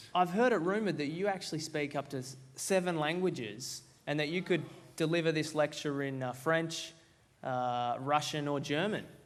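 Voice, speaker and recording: Against audible room echo, a man with an Australian accent talks at a moderate pace, his fairly high voice showing ordinary pitch variation. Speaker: event host. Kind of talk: interview. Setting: stage with audience.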